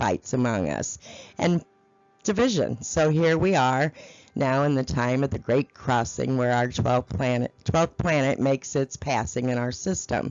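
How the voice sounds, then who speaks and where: Using a put-on character voice, a woman speaks at a moderate pace in a raspy, very deep, low pitch. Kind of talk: meditative spiritual storytelling. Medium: read story. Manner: slow, soothing, phrase by phrase.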